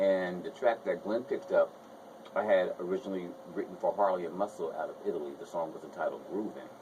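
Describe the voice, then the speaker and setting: With an American accent, a man speaks at a very fast pace against noticeable background noise. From New Jersey, Essex County. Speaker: singer. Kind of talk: radio interview.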